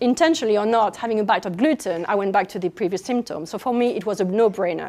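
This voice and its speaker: In a French accent, a woman speaks with lively intonation. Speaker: nutritional therapist. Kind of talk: public speech.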